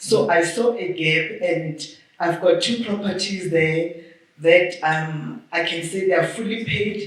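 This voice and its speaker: Heard with audible room echo and noticeable background noise, a woman speaks fairly slowly at a fairly low pitch. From Limpopo, South Africa. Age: 60s. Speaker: audience member, property owner. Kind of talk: audience question.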